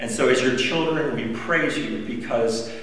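The speech moves at a fairly slow pace with ordinary pitch variation. Strong room echo surrounds it. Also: man. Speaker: pastor. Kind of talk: guided prayer. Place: church. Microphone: camera far.

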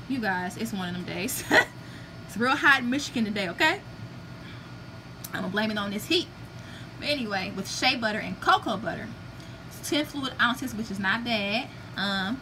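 This woman has a fairly high pitch and lively intonation. She leaves long, frequent pauses over noticeable background noise. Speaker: beauty product reviewer, vlogger. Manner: fast talker.

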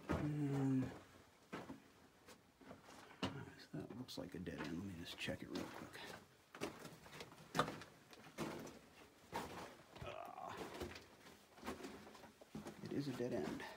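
A man at a very slow pace with long, frequent pauses, over loud background noise. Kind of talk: casual exploration commentary. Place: tunnel cave. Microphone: phone near.

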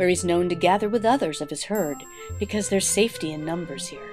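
Music plays in the background as a woman speaks with lively intonation at a fairly low pitch. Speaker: realtor. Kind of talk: mockumentary nature-documentary narration.

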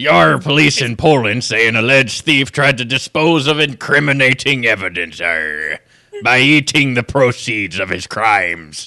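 A man does a playful, put-on character voice at medium pitch. He keeps a moderate pace. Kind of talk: news story reading on comedy show. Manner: pirate-like, playful. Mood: jokey, playful.

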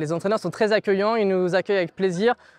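A man's fairly even intonation, recorded dry with no echo. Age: 20s. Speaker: journalist and amateur jockey; journalist. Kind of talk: testimony. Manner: hesitant with repetitions. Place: open country. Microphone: lapel.

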